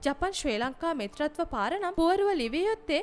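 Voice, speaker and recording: A woman's extremely high voice with very wide pitch swings. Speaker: news narrator. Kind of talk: scripted narration. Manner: formal.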